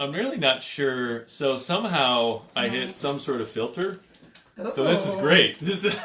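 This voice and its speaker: A man talks at a fairly slow pace with a fairly high pitch and lively intonation. Noticeable background noise runs behind him. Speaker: podcast host. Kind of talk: podcast interview host talk.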